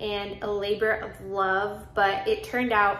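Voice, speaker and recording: A woman talks with fairly even intonation, with audible room echo and light background noise. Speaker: home vlogger. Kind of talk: casual vlog chat. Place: home room. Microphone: phone near.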